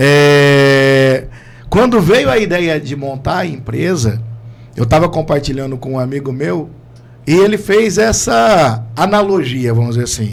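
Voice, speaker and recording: A man's fairly high voice makes very wide pitch swings amid audible room echo and noticeable background noise. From Londrina, Paraná, Brazil. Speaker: entrepreneur. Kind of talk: casual chat.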